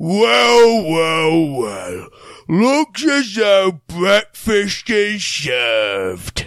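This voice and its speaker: A put-on character voice at a middle pitch crawls along at a very slow pace with very wide pitch swings. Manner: menacing, hungry.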